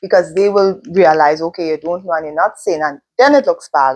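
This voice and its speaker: In a non-native accent, a woman speaks at a fairly quick pace and fairly low pitch with ordinary pitch variation. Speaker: podcast host and teacher. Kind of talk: interview.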